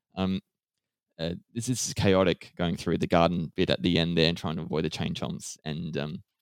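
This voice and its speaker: Fairly quick and very deep, a man's low voice comes through with fairly even intonation and a dry, close sound with no echo. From Australia. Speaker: gaming podcast host. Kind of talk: casual chat.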